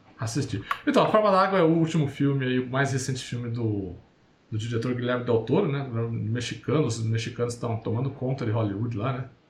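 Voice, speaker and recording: The man talks fairly quickly at a medium pitch, with ordinary pitch variation. Noticeable background noise and audible room echo are present. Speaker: podcast host. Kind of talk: casual chat. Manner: halting.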